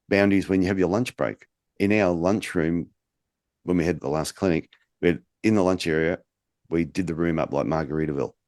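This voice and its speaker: Here is a man with a very deep, low voice and an Australian accent. The sound is dry and close, with no echo. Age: 50s. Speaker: podcast host, podiatry business coach. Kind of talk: casual chat.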